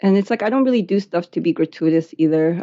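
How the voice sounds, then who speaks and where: Speaking at a fairly quick pace, a woman with a Spanish accent has a fairly low pitch. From born in Chile, raised in the US from age eight. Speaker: artist. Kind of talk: interview conversation. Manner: hesitant with many fillers.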